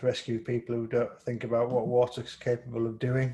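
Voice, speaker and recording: In a strong East Yorkshire accent, a man speaks with a dark, mellow tone, medium pitch, somewhat breathy quality, and monotone, flat intonation. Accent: East Yorkshire, quite strong. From East Yorkshire, England. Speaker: photographer and interviewer. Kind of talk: casual interview chat.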